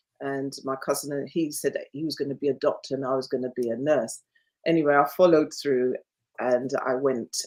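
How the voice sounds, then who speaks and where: A woman's very deep, low voice in a London accent, monotone and flat, at a moderate pace. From London (Hackney), England. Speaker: nurse. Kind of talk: interview.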